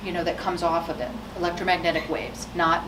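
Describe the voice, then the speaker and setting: Noticeable background noise and audible room echo surround a woman. She talks at a fairly quick pace in a fairly low pitch. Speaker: scientist giving a public talk. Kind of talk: public science talk. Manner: loud; casual, with fillers.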